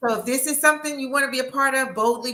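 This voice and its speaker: A woman with an animated tone. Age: 60s. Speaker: author and anthology host. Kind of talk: live-stream interview. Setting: live stream.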